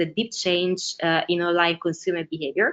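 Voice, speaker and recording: A woman speaks at a fairly low pitch with an Italian accent. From Italy. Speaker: ads strategist. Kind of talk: webinar presentation. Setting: online webinar.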